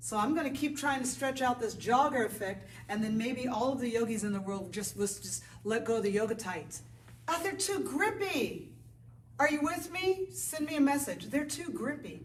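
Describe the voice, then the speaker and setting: A woman speaks loudly in a high, animated voice with very wide pitch swings at a moderate pace. Audible room echo and noticeable background noise surround her. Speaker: yoga teacher. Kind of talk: casual chat to camera before a yoga class. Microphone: no microphone, camera mic.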